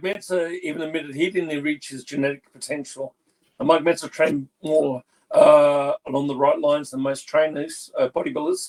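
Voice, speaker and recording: A normal speaking voice moves at a moderate pace with fairly even intonation, the sound dry and close with no echo. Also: man, fairly high pitch for a man. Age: 60s. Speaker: bodybuilder and personal trainer. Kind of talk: casual interview.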